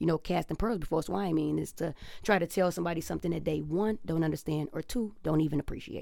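With vocal fry and a fairly low pitch, a woman speaks in an American accent with ordinary pitch variation. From Detroit, US Midwest. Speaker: barber. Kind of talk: casual chat.

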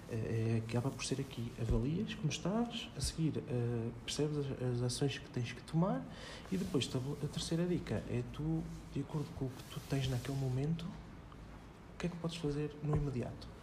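A man's fairly high, somewhat breathy voice with a dark, mellow tone, ordinary pitch variation, a moderate pace and audible room echo. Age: 20s. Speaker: personal development author and former cook. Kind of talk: casual interview chat.

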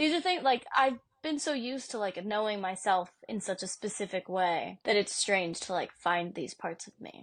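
A normal speaking voice with lively intonation, a moderate pace and a quiet background. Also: woman, medium pitch for a woman, hardly any pauses. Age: 20s. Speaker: podcast co-host. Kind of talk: casual chat.

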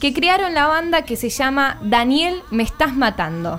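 At a very slow pace, a woman speaks with a high pitch that swings very widely. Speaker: radio music presenter. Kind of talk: radio segment.

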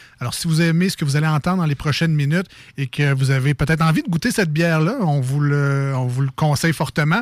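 A man with a fairly high, somewhat breathy voice talks at a very fast pace with ordinary pitch variation and very even loudness. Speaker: radio show co-host. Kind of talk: casual radio banter.

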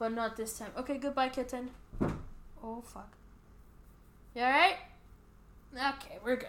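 A woman speaks at a high pitch and a moderate pace. Her loudness swings widely, and she leaves long, frequent pauses. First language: not English. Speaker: podcast co-host. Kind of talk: casual chat. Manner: animated.

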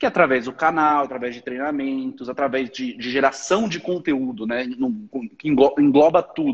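At a moderate pace, a man with a plain, everyday voice and a fairly high pitch speaks with ordinary pitch variation. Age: 20s. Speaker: online marketer. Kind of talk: casual chat. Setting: livestream.

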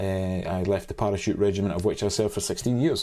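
A man with a Scottish accent talks at a fairly quick pace in a dark, mellow tone and a fairly low pitch. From Scotland. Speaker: cameraman and drone pilot. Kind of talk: interview. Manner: hesitant, many fillers.

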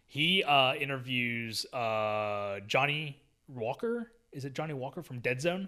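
The very clean recording, with a silent background, captures a man with a normal speaking voice, medium pitch and ordinary pitch variation. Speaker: podcast host. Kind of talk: casual chat.

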